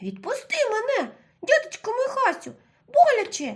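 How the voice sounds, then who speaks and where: A woman's put-on character voice, extremely high-pitched and squeaky, at a moderate pace. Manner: pleading, in pain.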